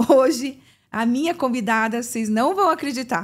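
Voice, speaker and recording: A woman talks with lively intonation at a high pitch. The recording is very clean, with a silent background. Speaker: podcast host. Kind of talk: podcast interview questions.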